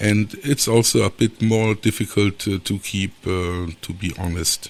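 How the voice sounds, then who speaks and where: Speaking with a German accent, a man shows ordinary pitch variation. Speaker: aquascaping podcaster. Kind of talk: solo podcast talk. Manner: halting, many fillers.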